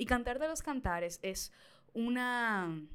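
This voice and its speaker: In a very clean recording with a silent background, a woman speaks in a bright, sharp tone that sounds animated. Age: 20s. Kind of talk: casual chat.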